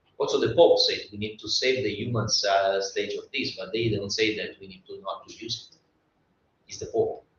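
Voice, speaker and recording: Speaking at a moderate pace with an Italian accent, a man shows big swings in loudness. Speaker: design expert panelist. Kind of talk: panel discussion. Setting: live event with audience. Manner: animated; halting.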